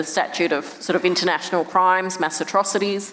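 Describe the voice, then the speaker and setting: With an Australian accent, a woman with a fairly low pitch speaks at a moderate pace over noticeable background noise. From Perth, Australia. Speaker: human rights director. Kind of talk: conversation interview answer.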